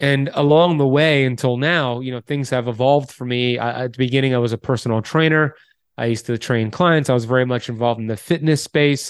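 A man with an American accent uses an ordinary speaking voice at a medium pitch and a fairly quick pace. His intonation is fairly even, and the background is quiet. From Miami, Florida, US. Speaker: health author and podcaster. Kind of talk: interview.

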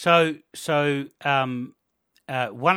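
Someone with an Australian accent is heard in a very clean recording with a silent background. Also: man. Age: 50s. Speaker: podcast host and biochemistry student. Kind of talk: casual interview.

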